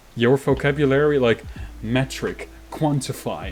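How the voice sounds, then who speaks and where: A man with a Dutch accent. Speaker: anime podcast co-host. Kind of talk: casual chat. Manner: halting, self-interrupting.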